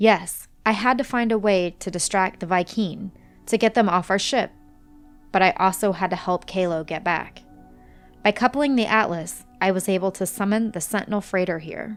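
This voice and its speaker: Over music in the background, a soft-spoken, raspy put-on character voice at a middle pitch speaks at a moderate pace. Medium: read story. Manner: soft, weary, measured.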